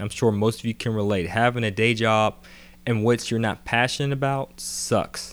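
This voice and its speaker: A man with an American accent and an ordinary speaking voice talks at a moderate pace and medium pitch with fairly even intonation, on a very clean recording with a silent background. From Atlanta, Georgia, US South. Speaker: real estate investor and audiobook author. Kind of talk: audiobook narration, informal monologue. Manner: casual, conversational with fillers.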